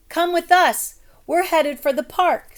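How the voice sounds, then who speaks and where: A woman puts on a squeaky character voice at an extremely high pitch with fairly even intonation. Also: moderate pace. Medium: read story. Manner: brisk, slangy.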